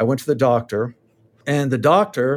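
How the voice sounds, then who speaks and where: A normal speaking voice from a man, pitched in the middle of his range, its pitch moving in an ordinary way. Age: 60s. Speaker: author and counselor. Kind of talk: casual interview conversation.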